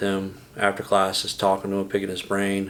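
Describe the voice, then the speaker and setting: The speaker is a man with fairly low pitch. He talks at a moderate pace. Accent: Texan. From Texas, San Antonio. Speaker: business owner. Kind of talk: interview.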